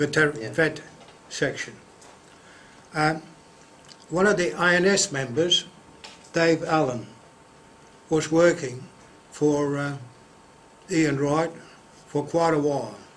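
A man with an Australian accent, fairly high in pitch, at a very slow pace with ordinary pitch variation and long, frequent pauses. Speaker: collector. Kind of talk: show and tell; casual reminiscence in meeting. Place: home room. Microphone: webcam.

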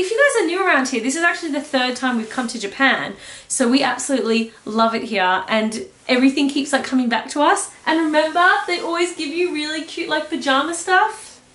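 With audible room echo, a woman talks at a fairly quick pace in a high pitch. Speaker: travel vlogger. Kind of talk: casual vlog chat. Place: home room.

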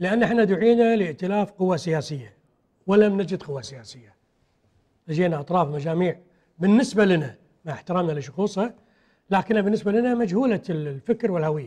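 At a moderate pace over a quiet background, a man speaks at a high pitch with a dark, mellow tone and lively intonation. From Kuwait. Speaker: politician, party secretary-general; politician. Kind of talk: political TV interview. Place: studio. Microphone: lapel.

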